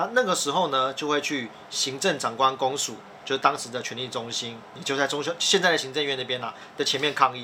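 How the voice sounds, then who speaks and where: With an animated tone, a man talks at a fairly quick pace in a medium pitch. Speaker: podcast host, editor-in-chief. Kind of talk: casual explanatory chat.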